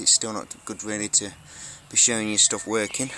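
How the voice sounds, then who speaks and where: Noticeable background noise accompanies a man talking at a fairly quick pace and a fairly low pitch. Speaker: electronics hobbyist YouTuber. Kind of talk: show-and-tell tutorial. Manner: hesitant with many fillers; fast.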